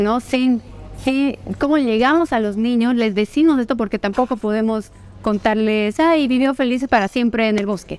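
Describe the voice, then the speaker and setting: A woman speaks at a fairly slow pace with ordinary pitch variation. The sound is dry with no echo, and music plays in the background. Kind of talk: interview answer. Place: hall. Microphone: lapel.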